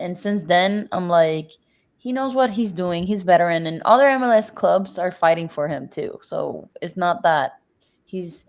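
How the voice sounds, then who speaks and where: A woman with a Spanish accent speaks fairly slowly at a medium pitch with lively intonation, on a very clean recording with a silent background. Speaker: soccer podcast co-host. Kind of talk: casual chat.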